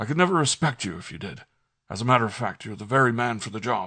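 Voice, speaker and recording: In a put-on character voice, a raspy man at medium pitch rattles along at a very fast pace with lively intonation against a quiet background. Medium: read story.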